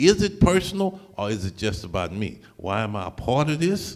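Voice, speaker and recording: Vocal fry marks this man's fairly high voice as it swings very widely in pitch at a moderate pace. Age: 70s. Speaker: preacher and community activist. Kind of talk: town hall speech. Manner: impassioned, preacherly.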